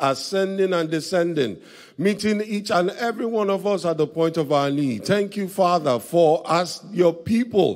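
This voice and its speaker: A man's high-pitched voice against a quiet background. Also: ordinary pitch variation, moderate pace. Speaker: pastor leading service. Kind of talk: prayer. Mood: reverent, earnest. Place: church. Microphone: handheld.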